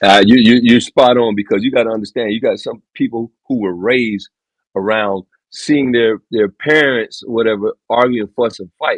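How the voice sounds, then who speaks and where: Here a man speaks at a medium pitch. His pace is moderate and his intonation fairly even. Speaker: podcast guest. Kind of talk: casual chat. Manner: loud.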